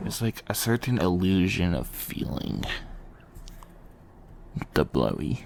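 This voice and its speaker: Long, frequent pauses in very slow delivery, with noticeable background noise behind it. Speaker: ASMR creator / vtuber. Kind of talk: casual ASMR rambling talk. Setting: binaural microphone recording. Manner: soft, intimate, conversational.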